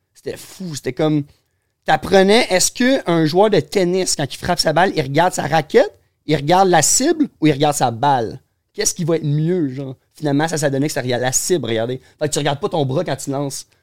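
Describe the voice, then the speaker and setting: A man with an unremarkable speaking voice talks at a fairly quick pace and a fairly high pitch, with ordinary pitch variation. The recording is very clean with a silent background and a dry, close sound with no echo. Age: 20s. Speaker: pro skateboarder. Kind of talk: casual chat.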